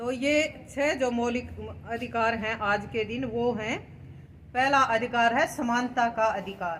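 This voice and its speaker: In a room with audible echo, a woman speaks at a fairly high pitch with fairly even intonation. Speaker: lecturer. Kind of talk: lecture. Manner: loud.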